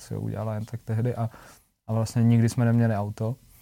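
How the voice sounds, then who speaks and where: In a very clean recording with a silent background, a man speaks at a very fast pace and a medium pitch, his tone dark and mellow. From Czech Republic, small town. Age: 20s. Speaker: singer. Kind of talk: casual chat.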